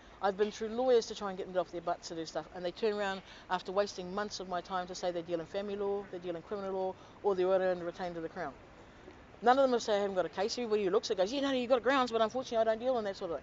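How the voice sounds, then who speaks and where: Speaking in a New Zealand accent at a very fast pace, a woman uses a medium pitch with ordinary pitch variation. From New Zealand, Auckland. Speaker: complainant to government office. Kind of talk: testimony.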